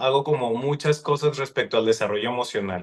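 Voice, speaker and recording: Here a man talks at a fairly high pitch. His pace is moderate. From Mexico, Sonora (Hermosillo area). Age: 30s. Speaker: psychologist. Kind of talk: podcast interview.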